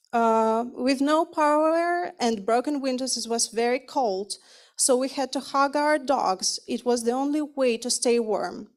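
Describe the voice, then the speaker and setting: On a very clean recording with a silent background, a woman speaks at a high pitch and a fairly slow pace. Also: ordinary pitch variation. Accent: Ukrainian. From Ukraine. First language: Ukrainian or Russian. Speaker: refugee, psychologist. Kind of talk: testimony read from a prepared speech.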